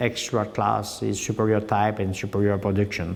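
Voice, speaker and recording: A man with a Quebec accent talks in a flat, monotone way, and the room echo is audible. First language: French. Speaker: dairy farmer and cattle breeder. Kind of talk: farm tour interview. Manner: halting, many hesitations.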